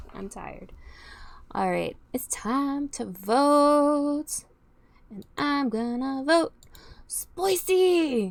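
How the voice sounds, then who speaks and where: Speaking very slowly with long, frequent pauses, a woman with an American accent uses a high pitch, lively intonation and big swings in loudness. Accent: slight southern accent, sometimes comes out. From Texas. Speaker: youtuber reacting to music. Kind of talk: casual reaction commentary. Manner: halting.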